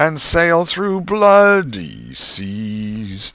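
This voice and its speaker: On a very clean recording with a silent background, a man puts on a character voice, sing-song with very wide pitch swings at a very slow pace. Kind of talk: oratorical, hymn reading. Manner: sing-song, rising then plunging cadence.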